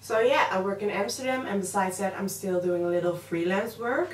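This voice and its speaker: With audible room echo and noticeable background noise, a woman is heard. Her pitch is medium. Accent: Dutch. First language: Dutch. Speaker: makeup artist and beauty vlogger. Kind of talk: makeup tutorial with casual chat. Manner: hesitant, filler-heavy.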